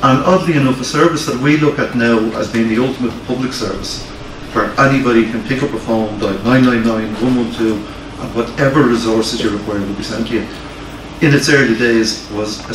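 A man talks with fairly even intonation at a moderate pace, his voice carrying audible room echo amid noticeable background noise. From Ireland, Dublin. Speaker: fire service historian giving a lecture. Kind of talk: lecture; audience Q&A. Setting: library hall with live audience. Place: meeting room. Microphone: camera far.

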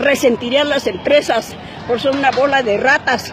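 A woman's fairly even intonation in a dry sound with no echo, with crowd noise in the background. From Mexico, provincial. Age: 80s+. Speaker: elderly citizen venting at government. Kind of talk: street interview answer. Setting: outdoors. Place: street. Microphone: phone near.

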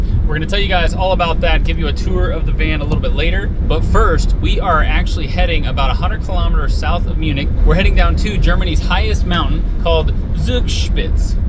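A man talks at a fairly quick pace with hardly any pauses. Loud background noise runs underneath. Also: dry sound with no echo. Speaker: travel vlogger. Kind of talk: casual vlog chat. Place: car. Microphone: phone near.

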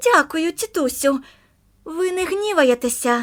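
An extremely high-pitched put-on character voice from a woman, fairly slow in pace. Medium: read story.

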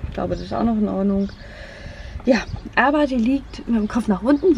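The voice comes through with a dry sound with no echo over light background noise. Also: woman. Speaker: vlogger. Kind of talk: casual vlog chat. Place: car.

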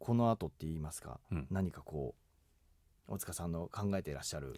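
With a dark, mellow tone and lively intonation, a man speaks in a very clean recording against a silent background. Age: 40s. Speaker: radio host and voice actor. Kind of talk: radio interview.

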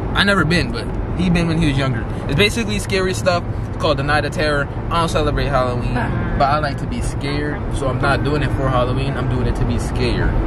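Delivery is very fast. The sound is dry with no echo, but loud background noise is present. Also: man. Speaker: vlogger. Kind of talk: casual vlog chat. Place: car. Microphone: phone near.

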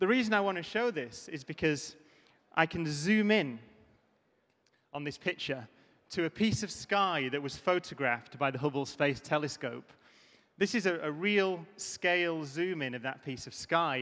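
Over a quiet background, a man with a bright, sharp tone talks at a moderate pace. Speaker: conference speaker. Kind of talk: keynote talk. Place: stage. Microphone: handheld.

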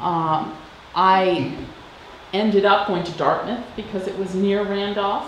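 Speaking at a very slow pace with long, frequent pauses, a woman keeps a medium pitch and a monotone, flat intonation. Light background noise and audible room echo are present. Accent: American. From Madison, Wisconsin; Wisconsin. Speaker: interviewee. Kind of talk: personal reminiscence.

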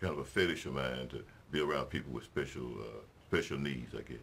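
In a Mississippi accent, a man talks at a fairly quick pace with ordinary pitch variation. Vocal fry runs through his voice. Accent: Southern US, Mississippi. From US South, Mississippi. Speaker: city mayor. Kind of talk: interview. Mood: warm, relaxed. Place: studio.

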